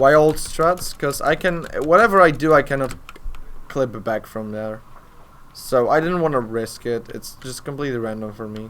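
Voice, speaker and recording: The speaker has a Polish accent and talks at a moderate pace. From Poland. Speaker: speedrunner. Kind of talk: live gameplay commentary. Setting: live charity stream. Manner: halting.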